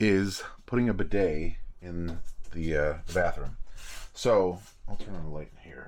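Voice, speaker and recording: In a very deep, low pitch, a man speaks at a fairly slow pace with ordinary pitch variation, big swings in loudness, long, frequent pauses and audible room echo. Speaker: homesteader and DIY vlogger. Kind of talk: casual DIY tutorial. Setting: inside an RV.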